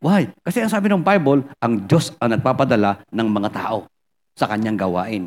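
The man's pitch is medium, with ordinary variation. He speaks at a moderate pace. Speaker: pastor. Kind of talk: sermon.

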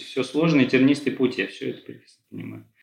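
A man's fairly high voice with vocal fry and fairly even intonation. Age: 30s. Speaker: therapy client. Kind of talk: therapy session. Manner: halting, many fillers.

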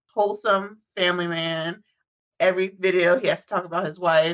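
A woman with a medium pitch and fairly even intonation speaks in an ordinary speaking voice. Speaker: podcast co-host. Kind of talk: casual chat. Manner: laughs often, relaxed.

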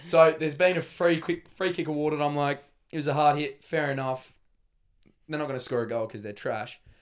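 Speaking with an Australian accent, a man has a fairly high pitch and ordinary pitch variation. He talks at a fairly quick pace. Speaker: footballer. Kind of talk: casual chat.

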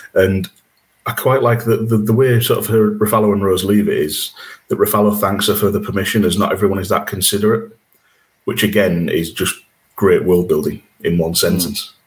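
Fairly low in pitch, a man talks at a moderate pace with fairly even intonation. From Yorkshire, England. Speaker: podcast host. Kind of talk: casual chat.

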